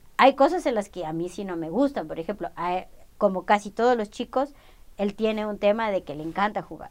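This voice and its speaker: This woman has an ordinary speaking voice, medium in pitch, with lively intonation and big swings in loudness at a fairly quick pace. The recording is very clean, with a silent background. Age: 40s. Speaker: mother of the other guest. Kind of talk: casual chat.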